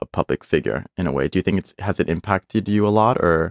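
The sound is dry and close, with no echo. A man speaks in a plain, everyday voice with a fairly low pitch. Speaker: podcast host. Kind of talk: casual interview chat.

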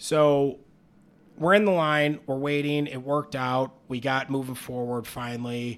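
A plain, everyday voice moves at a fairly slow pace with fairly even intonation on a very clean recording with a silent background. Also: man, medium pitch for a man. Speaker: podcast host, aspiring stand-up comedian. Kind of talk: casual chat.

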